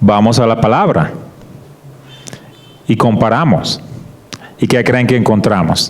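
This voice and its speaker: Noticeable background noise and audible room echo surround the speech. Loudness stays very even at a fairly slow pace with long, frequent pauses. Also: man, medium pitch for a man, ordinary pitch variation. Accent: Colombian coastal. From Colombian Caribbean coast, Barranquilla. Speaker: guest preacher, creation science ministry worker. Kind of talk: sermon / Bible study talk.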